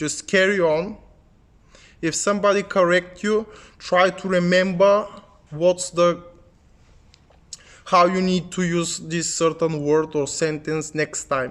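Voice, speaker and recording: With a Bulgarian accent, a man speaks very slowly at a high pitch, leaving long, frequent pauses. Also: fairly even intonation. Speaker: English learning youtuber. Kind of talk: tutorial.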